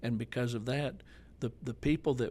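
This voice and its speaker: In a plain, everyday voice, a man with an American accent speaks at a medium pitch. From Arkansas, US South (Jonesboro). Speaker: pastor. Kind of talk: casual chat.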